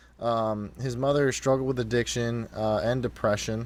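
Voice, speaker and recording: A man talks at a moderate pace. He has an ordinary speaking voice at medium pitch. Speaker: podcast co-host, military veteran and musician. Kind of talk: casual podcast chat.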